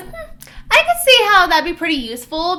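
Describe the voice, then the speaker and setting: A woman's put-on character voice, squeaky, extremely high and raised to project, at a fairly quick pace. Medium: read story.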